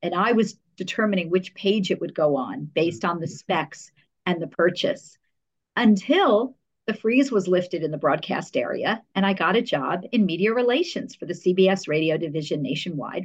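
A woman with an American accent has a normal speaking voice at medium pitch. Her intonation is lively. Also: moderate pace. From New Jersey, US. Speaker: public relations professional. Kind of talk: interview conversation.

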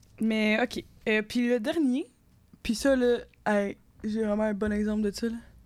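A woman with a fairly high pitch talks at a fairly slow pace, leaving long, frequent pauses. Her loudness stays very even and her intonation fairly even. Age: 20s. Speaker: engineering student and podcast co-host. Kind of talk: casual chat.

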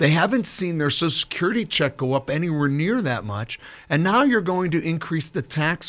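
A man with an unremarkable speaking voice at a fairly quick pace, lively in intonation and with hardly any pauses. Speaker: political candidate. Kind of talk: radio interview. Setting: studio.

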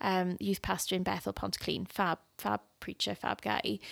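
A woman speaks with a Welsh accent at a moderate pace. The sound is dry and close with no echo, a very clean recording against a silent background. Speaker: podcast co-host and youth leader. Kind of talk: casual chat. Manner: giggly.

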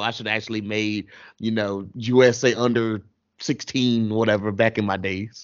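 This is a man speaking. His pitch is medium. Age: 30s. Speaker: gaming podcast host. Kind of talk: casual chat. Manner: animated.

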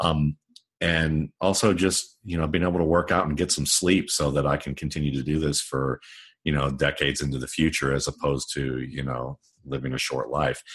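Vocal fry colors a man's very deep, low voice as he speaks at a fairly quick pace with fairly even intonation. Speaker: football scout and writer. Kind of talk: interview.

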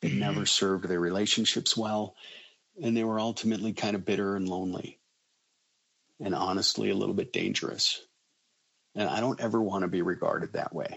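Fairly low in pitch with vocal fry, a man with a General American accent speaks with ordinary pitch variation and long, frequent pauses. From Colorado, near Boulder. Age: 50s. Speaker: school district administrator. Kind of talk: interview storytelling.

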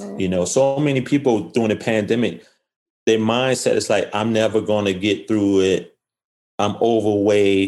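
Moderate pace and ordinary pitch variation in an unremarkable speaking voice. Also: man, fairly low pitch for a man. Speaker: fitness and nutrition coach. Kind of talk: casual interview.

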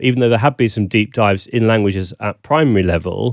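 Against a quiet background, a man speaks at a fairly low pitch in a southern British accent. The sound is dry and close with no echo, and his intonation is fairly even. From southern England. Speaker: language teaching consultant. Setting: video call.

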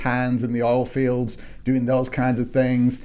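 At a moderate pace, the speaker's voice carries a dark, mellow tone. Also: man. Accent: English. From northwest England, Manchester. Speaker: historian. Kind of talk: interview.

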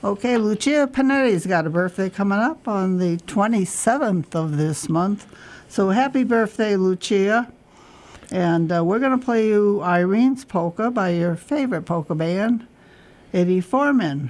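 Speaking at a moderate pace, a woman with an ordinary speaking voice uses lively intonation at a medium pitch, keeping her loudness very even. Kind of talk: radio dj patter, warm co-host banter and schedule announcements. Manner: bright, clear and upbeat, steady when reading out the phone number and times.

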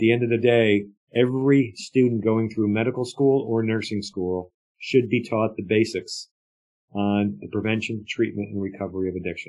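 Here a man uses a normal speaking voice with a fairly low pitch. His pace is moderate and his intonation fairly even. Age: 60s. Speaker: addiction advocate and nonprofit founder. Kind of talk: interview.

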